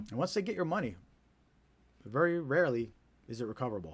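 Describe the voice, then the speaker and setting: Very fast delivery from a man with a New Jersey accent and very wide pitch swings, on a very clean recording with a silent background. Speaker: scam awareness live streamer. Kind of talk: live stream talk to viewers. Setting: live stream, home studio. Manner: casual, repetitive with filler words.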